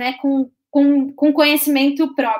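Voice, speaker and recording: Speaking very slowly, a woman uses a high pitch. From Santa Catarina, southern Brazil (Balneário Camboriú). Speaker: service designer. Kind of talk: interview about her career.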